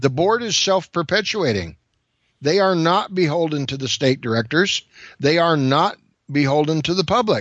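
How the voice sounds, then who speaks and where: With an American accent, a man with an unremarkable speaking voice talks at a fairly high pitch and moderate pace, his intonation lively. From California. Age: 60s. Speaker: UFO researcher guest. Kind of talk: casual interview. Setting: phone call.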